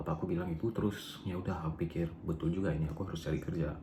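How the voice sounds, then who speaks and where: A man with an Aceh accent at a very fast pace, fairly even intonation and audible room echo. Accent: Acehnese. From Aceh, Indonesia. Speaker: vlogger. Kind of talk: personal storytelling vlog. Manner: casual, hesitant. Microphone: poor recording quality.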